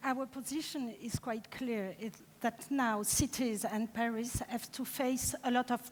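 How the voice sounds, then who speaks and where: Speaking fairly slowly, a woman with a French accent has a fairly high pitch and ordinary pitch variation. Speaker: deputy mayor. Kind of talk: conference panel discussion. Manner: halting.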